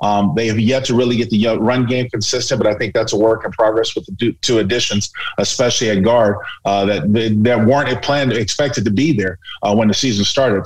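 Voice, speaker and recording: Fairly even intonation from a man at a fairly quick pace, with noticeable background noise. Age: 50s. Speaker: radio analyst, former football player. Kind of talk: casual interview.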